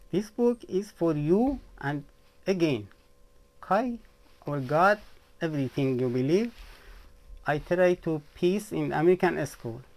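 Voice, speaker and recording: At a fairly slow pace, a man with a fairly high pitch talks with lively intonation and long, frequent pauses. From Iran. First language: Persian. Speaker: author and vlogger. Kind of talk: personal vlog monologue. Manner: halting.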